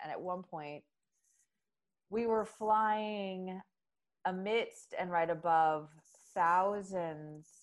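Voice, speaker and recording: A woman at a medium pitch talks rather slowly, her pitch shifting in an ordinary way. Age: 40s. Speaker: marketing and PR agency founder. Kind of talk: casual chat.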